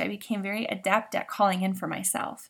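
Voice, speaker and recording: A woman at a medium pitch, with vocal fry and a moderate pace. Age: 40s. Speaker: podcast host, trauma healing. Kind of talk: solo podcast monologue. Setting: home recording in makeshift blanket fort.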